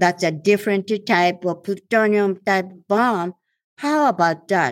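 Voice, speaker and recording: With a Japanese accent, a woman talks at a fairly slow pace in a medium pitch, her intonation lively, on a very clean recording with a silent background. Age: 80s+. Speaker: atomic bomb survivor and anti-nuclear campaigner. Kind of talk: interview testimony. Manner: halting.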